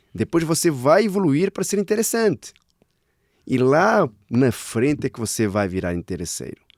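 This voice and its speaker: A man with a European Portuguese accent talks at a moderate pace in a fairly high pitch, with very wide pitch swings. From Portugal. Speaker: sales director. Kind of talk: casual interview chat.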